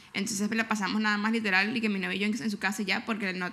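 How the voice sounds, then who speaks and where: Talking at a very fast pace, a woman uses a fairly high pitch and a bright, sharp tone. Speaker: podcast co-host. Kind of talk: casual chat. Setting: living room at home.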